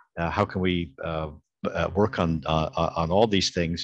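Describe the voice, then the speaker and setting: Dry with no echo, a man speaks at a fairly slow pace with fairly even intonation. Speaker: pediatrician and medical professor; medical professor. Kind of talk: interview in an online meeting. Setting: video call. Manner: halting, many filler repetitions. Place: home room. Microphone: video call.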